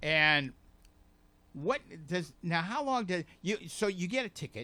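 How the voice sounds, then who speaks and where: A man's voice has a bright, sharp tone. His pitch moves in very wide swings. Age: 70s. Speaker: community TV talk show host. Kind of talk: casual interview. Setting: TV studio, live broadcast. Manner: halting, many false starts.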